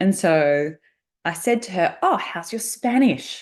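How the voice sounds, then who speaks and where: A woman speaks with an Australian accent and lively intonation. The background is quiet. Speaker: podcast host, negotiation coach. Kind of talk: solo podcast monologue.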